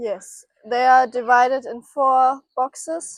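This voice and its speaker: Someone speaks with a German accent, the sound dry and close with no echo. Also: woman. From Germany. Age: 20s. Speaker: farm intern, agriculture student. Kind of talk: casual farm tour presentation. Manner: halting, many fillers.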